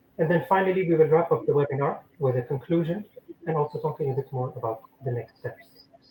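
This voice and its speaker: A man talks at a very fast pace with a fairly high pitch. Noticeable background noise runs behind him. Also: ordinary pitch variation. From Lebanon. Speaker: webinar host and professor. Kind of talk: webinar presentation. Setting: online webinar.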